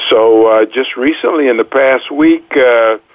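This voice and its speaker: A normal speaking voice from a man, at a fairly slow pace with ordinary pitch variation. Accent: American. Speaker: radio co-host, retired army officer. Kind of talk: radio interview.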